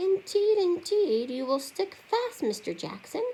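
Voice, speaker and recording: A female-sounding put-on character voice, squeaky and at an extremely high pitch, moves at a fairly slow pace with very wide pitch swings. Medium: read story. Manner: prim, fussy.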